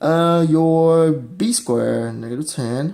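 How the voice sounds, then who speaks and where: Speaking at a very slow pace, a man with a non-native accent has a dark, mellow tone. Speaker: math tutor. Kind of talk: math lesson explanation. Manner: casual, hesitant.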